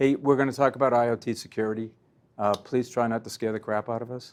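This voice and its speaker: A man with a Boston accent at a medium pitch, very fast and monotone with flat intonation, on a very clean recording with a silent background. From Boston, US. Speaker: company president and interviewer. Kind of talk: interview. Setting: conference event.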